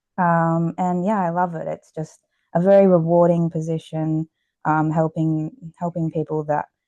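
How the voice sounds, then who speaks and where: A woman with an Australian accent, a dark, mellow tone and fairly low pitch, in monotone, flat intonation at a fairly slow pace, with a dry, close sound and no echo. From Australia, Queensland Gold Coast. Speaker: exercise physiologist and author. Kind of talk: podcast interview. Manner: many fillers (um, uh).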